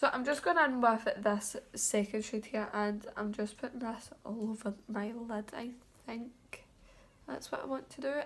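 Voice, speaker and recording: Using a fairly high pitch and fairly even intonation, a woman speaks at a fairly slow pace with a British accent. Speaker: beauty vlogger. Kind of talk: makeup tutorial. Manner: casual.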